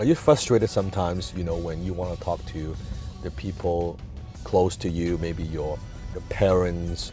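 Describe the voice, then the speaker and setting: Over music in the background, a man with a non-native accent talks at a moderate pace in a very deep, low pitch with fairly even intonation. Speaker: entrepreneur and public speaker. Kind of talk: motivational talk to camera.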